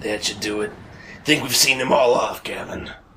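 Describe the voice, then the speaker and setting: Using a put-on character voice, a man speaks with a raspy sound at medium pitch. His pace is moderate. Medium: audio drama. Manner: measured, folksy.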